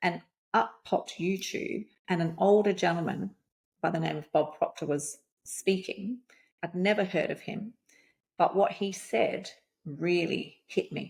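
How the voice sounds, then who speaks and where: Speaking with an Australian accent, a woman uses a medium pitch and ordinary pitch variation, her somewhat breathy voice moving fairly slowly with long, frequent pauses. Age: 50s. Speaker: life coach. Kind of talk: podcast interview. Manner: animated.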